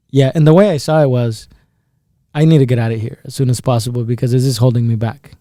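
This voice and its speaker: A speaker with a Spanish accent talks at a very fast pace in a dark, mellow tone with fairly even intonation. The recording is very clean, the background silent. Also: man. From El Salvador, then Iowa, US. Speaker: insurance agency businessman. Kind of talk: podcast interview.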